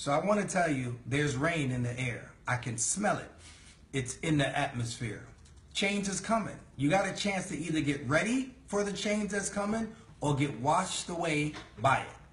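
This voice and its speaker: A man's fairly high-pitched, animated voice with lively intonation at a moderate pace, broken by long, frequent pauses, in a room with audible echo. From New York City, the Bronx. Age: 40s. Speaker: network marketing leader. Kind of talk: sales pitch.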